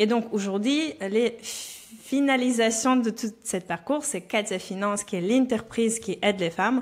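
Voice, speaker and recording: Her pitch is fairly high, with ordinary pitch variation. The woman speaks at a fairly slow pace. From Belarus. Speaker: personal finance coach. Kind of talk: podcast interview. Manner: frequent hesitations (euh).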